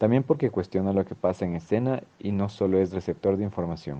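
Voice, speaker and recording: Talking at a fairly quick pace, a man with a very deep, low pitch shows ordinary pitch variation. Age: 20s. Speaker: dance student. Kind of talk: scripted narration.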